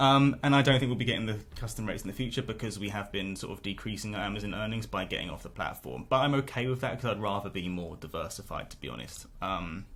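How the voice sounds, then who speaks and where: A man with a British accent talks at a very fast pace with hardly any pauses. His fairly low voice has vocal fry and lively intonation. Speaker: niche site blogger. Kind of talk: income report vlog. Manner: casual with many fillers.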